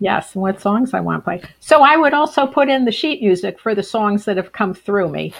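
With an American accent, a woman speaks at medium pitch with vocal fry. She hardly pauses at all. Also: lively intonation, moderate pace. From Western Massachusetts. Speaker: author and death doula. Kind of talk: casual chat.

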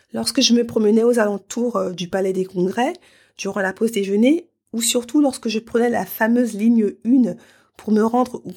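A woman's normal speaking voice, fairly high in pitch, at a moderate pace with ordinary pitch variation. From France, Paris. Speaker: podcast host and life coach. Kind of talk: solo podcast monologue.

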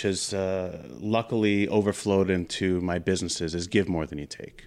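This very clean recording with a silent background features a man with a fairly low pitch and an ordinary speaking voice, talking at a moderate pace. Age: 40s. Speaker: business network founder and financial planner. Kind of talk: interview. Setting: studio.

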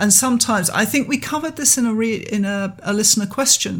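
Here a woman with a fairly high pitch speaks at a fairly quick pace. Her voice is somewhat breathy, with ordinary pitch variation. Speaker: podcast host and artist. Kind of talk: casual conversational podcast discussion.

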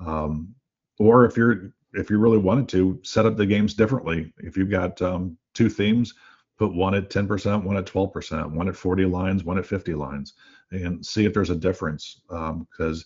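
Here a man speaks with a very deep, low pitch at a moderate pace. His pitch variation is ordinary. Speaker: slot analytics executive. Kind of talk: business podcast discussion. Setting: remote call.

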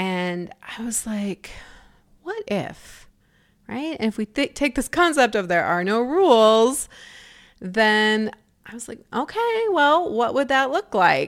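A woman with an ordinary speaking voice talks at a fairly slow pace, her pitch fairly high and her intonation lively. Her loudness swings widely, and the recording is very clean with a silent background. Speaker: podcast host and life coach. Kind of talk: solo podcast monologue. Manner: casual with frequent laughter.

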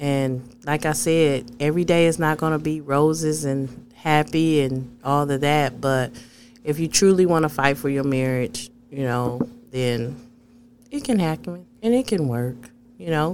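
Noticeable background noise sits behind a woman with an American accent whose very deep, low pitch shows ordinary variation as she speaks at a fairly slow pace. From US Midwest (Flint, Michigan). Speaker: podcast co-host. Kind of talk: casual chat.

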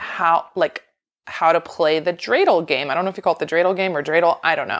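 At a fairly quick pace, a woman talks in an unremarkable speaking voice pitched fairly low. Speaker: pediatric speech language pathologist. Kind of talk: casual chat.

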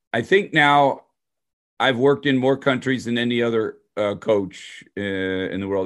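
The man has an unremarkable speaking voice, medium in pitch with ordinary pitch variation. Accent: American. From US Midwest, Detroit area. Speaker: hockey skills coach. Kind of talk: interview.

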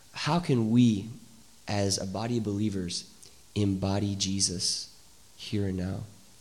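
A man talks at a fairly slow pace with a fairly low pitch and fairly even intonation. His pauses are long and frequent, and the room echo is audible. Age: 30s. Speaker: church podcast host. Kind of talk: casual interview. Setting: church with small live audience.

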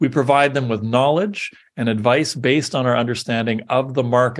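A normal speaking voice talks at a fairly quick pace over a quiet background. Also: man. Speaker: podcast host. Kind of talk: reading aloud an AI-written pep talk, with ad-libbed asides. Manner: earnest, rallying podium delivery; dry, wry asides between lines.

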